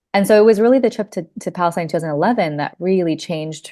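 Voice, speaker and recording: This woman speaks with an American accent. The background is quiet. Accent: international-school American. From US and Gulf (Saudi Arabia, Kuwait). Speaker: podcast guest, embroidery teacher. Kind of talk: casual interview chat.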